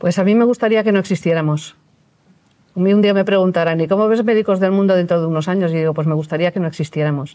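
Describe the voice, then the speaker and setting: A woman talks at a very fast pace with very even loudness, ordinary pitch variation, and a dark, mellow tone. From Valencia, Spain; Spain. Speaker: retired doctor, NGO volunteer; interviewee. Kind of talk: interview; interview answer. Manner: halting. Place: studio. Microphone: lapel.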